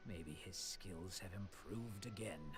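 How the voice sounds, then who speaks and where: Loud background noise behind a man in a put-on character voice, very deep and low in pitch, at a moderate pace. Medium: video game. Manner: wary.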